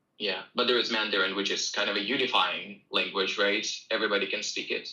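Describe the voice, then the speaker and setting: A man speaks with a Russian accent. His pace is very fast. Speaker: English teacher. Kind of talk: self-promotion; casual livestream chat.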